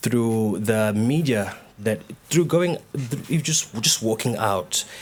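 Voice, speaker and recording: The speaker has a Zulu accent and a fairly slow pace. Pitch variation is ordinary. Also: man. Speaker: dancer and choreographer. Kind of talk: panel discussion. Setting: stage with live audience. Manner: halting, many repetitions and fillers.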